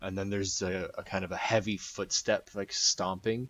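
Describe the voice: Reading aloud plainly, the speaker keeps a fairly even intonation.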